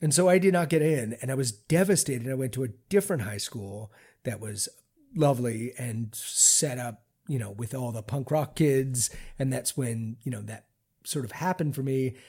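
With an American accent, a man speaks in a dark, mellow, somewhat breathy tone with lively intonation. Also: medium pitch for a man, moderate pace. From US, Baltimore, Maryland. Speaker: film director and editor. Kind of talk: interview.

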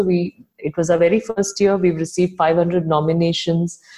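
Speaking at a moderate pace, a woman with a Tamil accent has a medium pitch and a somewhat breathy voice with a dark, mellow tone. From India, Chennai. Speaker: founder of an online magazine. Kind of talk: interview. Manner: hesitant, with many fillers.

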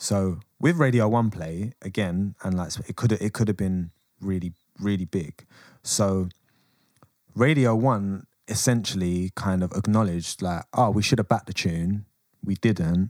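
In a London accent, a man speaks at a fairly low pitch with ordinary pitch variation. The recording is very clean with a silent background, and the sound is dry and close with no echo. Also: moderate pace. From England. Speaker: rapper. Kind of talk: casual chat.

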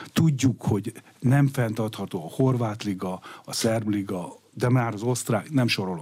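Speaking at a fairly slow pace, a man uses medium pitch, ordinary pitch variation and a dark, mellow tone. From Hungary. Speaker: sports economist. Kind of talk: radio interview. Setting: studio. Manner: halting.

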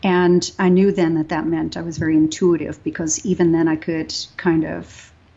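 A woman with an American accent, fairly low-pitched and fairly even in intonation, an unremarkable speaking voice. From Texas. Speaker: yoga teacher. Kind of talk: interview.

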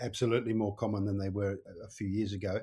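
The voice is dark and mellow, somewhat breathy, and monotone and flat at a very fast pace. The recording is very clean, with a silent background. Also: man. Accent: Australian. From Wales. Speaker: buyer's agent. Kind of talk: podcast interview.

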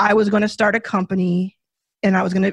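Speaking at a very fast pace, a woman with a medium-pitched, somewhat breathy voice comes through with a dry, close sound with no echo. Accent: American. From US South, Dallas, Texas. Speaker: venture capitalist, fund founder. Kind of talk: podcast interview. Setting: studio.

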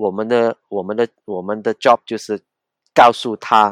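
Very slow and fairly even in intonation, a man with a Cantonese accent and fairly low pitch is heard in a very clean recording with a silent background and a dry, close sound with no echo. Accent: Cantonese-accented Mandarin. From Hong Kong. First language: Cantonese (speaking Chinese). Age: 50s. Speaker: pastor and independent journalist. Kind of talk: casual interview. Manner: halting, repeats words.

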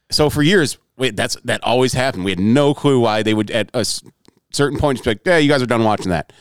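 Here a man talks at a very fast pace with lively intonation and medium pitch. The sound is dry and close, with no echo. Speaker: podcast co-host. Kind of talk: casual chat, comedic banter.

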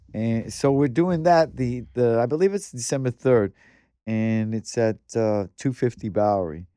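Speaking at a fairly slow pace with lively intonation, a man with an American accent has a medium pitch and a dark, mellow tone, recorded with a dry, close sound with no echo against a quiet background. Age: 60s. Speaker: graffiti artist. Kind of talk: casual chat. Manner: halting.

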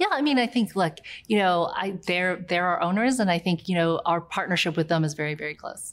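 Speaking quite quickly in a plain, everyday voice, a woman with an American accent uses a fairly low pitch and ordinary pitch variation. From US South, near Charleston, South Carolina. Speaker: tech company CEO. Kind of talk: interview.

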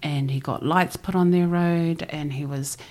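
In a New Zealand accent, a woman speaks with a very deep, low pitch. Her pace is fairly slow and her intonation fairly even. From New Zealand (Christchurch), Samoan parents. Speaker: ocean voyager and former journalist. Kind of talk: interview conversation.

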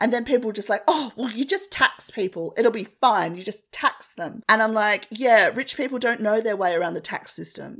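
On a very clean recording with a silent background, a woman with a fairly high pitch speaks at a moderate pace with lively intonation. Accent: Australian. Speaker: podcast co-host. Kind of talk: casual chat.

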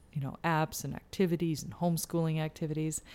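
In a Canadian Maritime accent, a woman speaks at a moderate pace in a very deep, low voice on a very clean recording with a silent background. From New Brunswick, Canada.

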